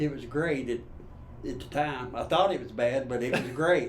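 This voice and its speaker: Noticeable background noise and audible room echo fill the recording. A man with an Appalachian accent speaks at a moderate pace with ordinary pitch variation. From Eastern Kentucky. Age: 70s. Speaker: grandfather interviewee. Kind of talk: interview.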